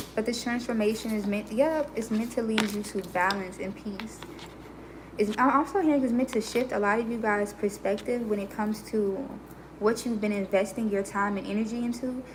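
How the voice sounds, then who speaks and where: There is noticeable background noise as a woman speaks at a moderate pace, her fairly high pitch held in a fairly even intonation. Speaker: tarot reader. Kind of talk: tarot reading livestream. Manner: smooth, serene.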